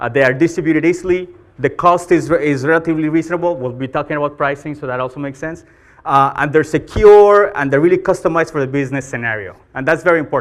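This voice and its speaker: A man with a Colombian accent, fairly high in pitch, with ordinary pitch variation and a very fast pace. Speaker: marketing executive, conference speaker. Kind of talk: conference talk. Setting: stage with audience.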